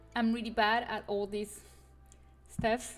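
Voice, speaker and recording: A woman speaks in a French accent. Music plays in the background. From France (Paris). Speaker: custom content creator streamer. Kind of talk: casual livestream chat. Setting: livestream. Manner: hesitant, many fillers.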